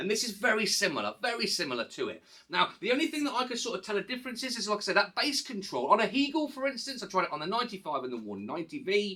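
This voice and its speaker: Over noticeable background noise, a man with an English accent talks at a very fast pace in a raised, projected voice that is high in pitch and swings very widely. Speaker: hi-fi reviewer. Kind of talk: product review. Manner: halting.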